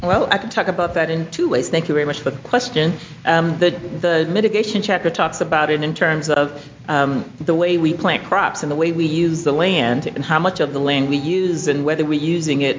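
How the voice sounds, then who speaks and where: A woman talks at a very deep, low pitch with ordinary pitch variation and a moderate pace. Noticeable background noise is present. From Alabama. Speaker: environmental toxicologist and attorney. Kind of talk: presentation. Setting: congressional briefing room with audience.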